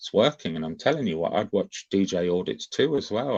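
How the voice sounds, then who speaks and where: The background is quiet. A man talks with a dry, close sound and no echo. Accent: English. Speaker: YouTube livestream host. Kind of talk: casual livestream chat. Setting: livestream on camera. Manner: animated.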